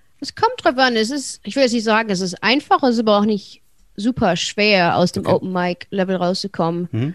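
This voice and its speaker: Medium-pitched woman with a slight American accent, fairly quick pace and lively intonation, in a dry, close sound with no echo. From Germany, Wuppertal. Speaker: stand-up comedian. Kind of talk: casual interview.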